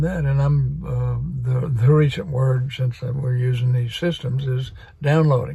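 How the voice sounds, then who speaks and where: There is audible room echo around the voice. A man talks at a moderate pace. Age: 80s+. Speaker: spiritual vlogger. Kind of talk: casual monologue. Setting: video recording.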